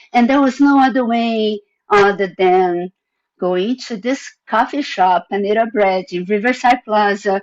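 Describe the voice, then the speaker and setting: This woman has a non-native accent, a medium pitch and ordinary pitch variation. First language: not English. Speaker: panelist, former division director. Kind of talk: panel presentation.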